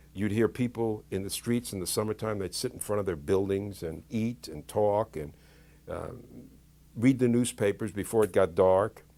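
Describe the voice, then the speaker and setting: With an American accent, a man speaks at a moderate pace in a fairly low pitch, his tone dark and mellow with ordinary pitch variation, on a very clean recording with a silent background. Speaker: interviewee recalling childhood. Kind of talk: documentary interview.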